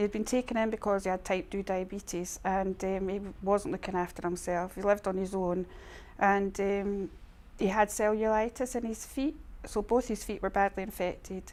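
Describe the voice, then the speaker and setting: In an Edinburgh accent, a woman speaks at a moderate pace with fairly even intonation on a very clean recording with a silent background. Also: medium pitch for a woman. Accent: Scottish (Edinburgh). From Scotland, Edinburgh. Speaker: charity admin manager. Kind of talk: testimony. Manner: halting.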